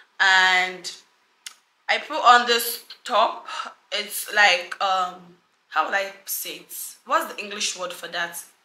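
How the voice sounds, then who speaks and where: The speech moves at a very slow pace with long, frequent pauses. Loudness swings widely, and the room echo is audible. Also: woman, medium pitch for a woman. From Nigeria. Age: 20s. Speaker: lifestyle YouTuber. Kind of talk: fashion vlog / lookbook. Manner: animated. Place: home room.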